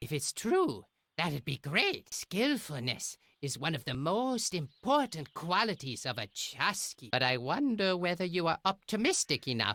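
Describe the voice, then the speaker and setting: A man's put-on character voice, high-pitched, with very wide pitch swings, a moderate pace, and a dry, close sound with no echo. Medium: video game. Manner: pompous, boastful.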